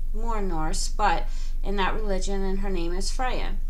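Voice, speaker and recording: A woman talks at a moderate pace amid noticeable background noise and audible room echo. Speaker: spiritual counselor and online radio host. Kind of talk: casual self-introduction video. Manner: hesitant, with fillers and giggles.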